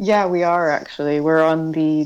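A woman with an American accent speaks in a very deep, low pitch with monotone, flat intonation. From California, US West Coast. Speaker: bike workshop founder. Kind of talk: interview. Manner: casual, with laughs.

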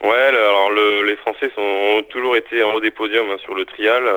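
A man's fairly low-pitched voice, monotone with flat intonation, at a moderate pace. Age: 30s. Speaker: trial mountain bike rider. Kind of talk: interview. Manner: halting.

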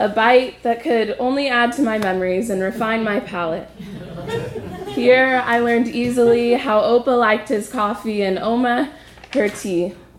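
A woman with an American accent, fairly high pitch, ordinary pitch variation, and a moderate pace over crowd noise in the background. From US, Ojai, California. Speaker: storyteller, traveler. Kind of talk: personal story performed.

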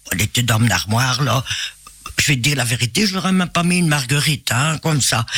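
Against noticeable background noise, a man's pitch swings very widely. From Belgium, Binche area. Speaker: singer. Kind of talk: interview. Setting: radio studio.

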